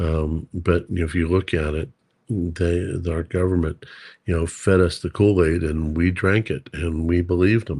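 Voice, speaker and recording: With an American accent, a man speaks in a very deep, low voice with a dark, mellow tone that is somewhat breathy. He keeps a moderate pace and fairly even intonation over a quiet background. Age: 60s. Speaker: precious metals stacker, co-host. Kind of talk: casual livestream chat. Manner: halting, many fillers.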